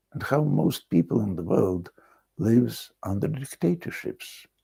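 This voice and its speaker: A man's dark, mellow tone with vocal fry and very wide pitch swings, in a very clean recording with a silent background. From Russia. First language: Russian. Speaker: video blogger. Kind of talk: solo monologue. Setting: country house.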